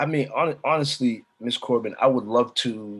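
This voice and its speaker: Here a man talks at a moderate pace. He has a medium pitch. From United States. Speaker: spoken word artist. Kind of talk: interview. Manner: halting.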